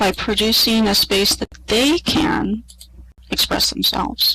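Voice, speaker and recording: A woman with a fairly high pitch speaks at a fairly slow pace with vocal fry. Her intonation is lively. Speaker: college professor. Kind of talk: conference presentation. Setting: online virtual world presentation to audience. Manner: soft-spoken. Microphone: quiet, listeners may need to turn up.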